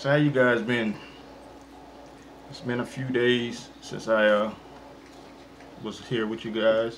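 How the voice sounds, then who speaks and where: Light background noise sits behind a man speaking at a fairly slow pace. His intonation is monotone and flat. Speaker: mukbang vlogger. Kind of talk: casual vlog chat. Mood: relaxed, friendly. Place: home room. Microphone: phone near.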